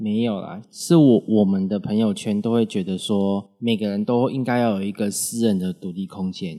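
On a very clean recording with a silent background, a man speaks at a moderate pace in a dark, mellow tone, his pitch fairly low and his intonation fairly even. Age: young. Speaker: host's son, college student. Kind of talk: interview. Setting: studio.

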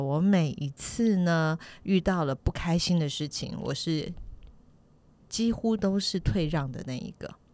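In a very clean recording with a silent background, a woman speaks fairly slowly at a fairly low pitch. Her pitch variation is ordinary, and it's an ordinary speaking voice. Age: 50s. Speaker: podcast co-host. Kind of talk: casual chat.

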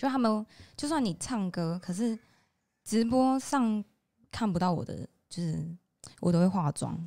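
Her tone dark and mellow, a woman speaks at a moderate pace with very wide pitch swings and long, frequent pauses. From Taiwan, Nantou (Puli). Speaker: singer and livestreamer. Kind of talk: interview.

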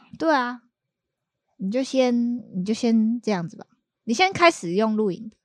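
A woman speaks at a moderate pace with a fairly high pitch and lively intonation. Her loudness swings widely, and she leaves long, frequent pauses. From Taiwan, Kaohsiung. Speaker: bridal stylist. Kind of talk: casual chat. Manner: nervous.

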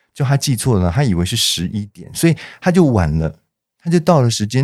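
At a fairly quick pace, the voice makes very wide pitch swings on a very clean recording with a silent background. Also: man. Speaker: dentist. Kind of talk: interview.

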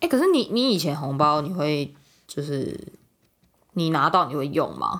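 A woman's very deep, low voice with lively intonation and long, frequent pauses. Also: moderate pace. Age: 20s. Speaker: podcast co-host. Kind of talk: casual chat.

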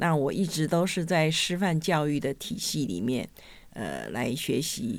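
Vocal fry on a very clean recording with a silent background. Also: woman. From Taiwan, Hsinchu. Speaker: retired school administrator. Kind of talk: interview. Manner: hesitant, many fillers.

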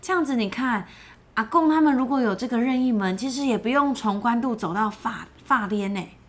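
With ordinary pitch variation, a woman speaks in an animated tone. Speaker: children's podcast co-host. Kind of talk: storytelling chat for children.

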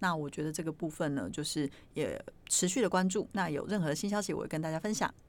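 A woman with a fairly low pitch talks at a very fast pace, using ordinary pitch variation. The recording is very clean, with a silent background. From Taiwan, Yilan (Luodong). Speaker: podcast host, performing arts presenter. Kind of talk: casual chat.

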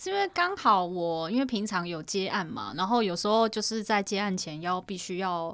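A woman with an unremarkable speaking voice talks at a moderate pace and medium pitch, with ordinary pitch variation and hardly any pauses. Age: 30s. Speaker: podcast co-host, freelance photographer. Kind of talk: casual chat.

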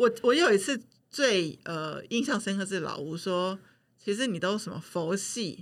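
A woman has an unremarkable speaking voice at a medium pitch. She speaks at a fairly slow pace with lively intonation. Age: 40s. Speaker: podcast producer. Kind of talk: casual chat.

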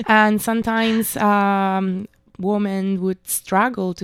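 With an Italian accent, a woman speaks in a fairly even intonation. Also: very clean recording, silent background. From Italy, Milan. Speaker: backpacker. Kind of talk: interview.

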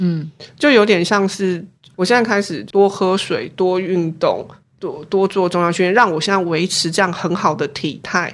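It is an ordinary speaking voice at a moderate pace with ordinary pitch variation. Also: woman, medium pitch for a woman. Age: 40s. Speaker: professor of artifact conservation. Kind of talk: casual interview.

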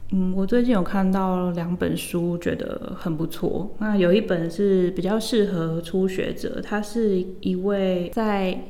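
A woman speaks at a medium pitch and a very slow pace, with fairly even intonation and hardly any pauses. Audible room echo and noticeable background noise are present. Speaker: language teacher. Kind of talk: interview.

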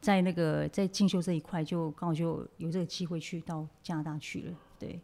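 A woman talks with a fairly low pitch and a dark, mellow tone. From Taiwan, Nantou Atayal village. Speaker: makeup artist. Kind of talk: interview.

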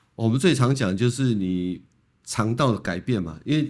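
On a very clean recording with a silent background, a man with a normal speaking voice talks at medium pitch with lively intonation. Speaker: colorectal surgeon. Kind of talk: medical interview. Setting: studio.

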